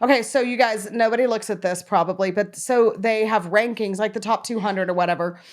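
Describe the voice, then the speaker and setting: At a fairly quick pace and with hardly any pauses, a woman speaks at a fairly high pitch with fairly even intonation. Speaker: podcast co-host. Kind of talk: casual chat. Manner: fast.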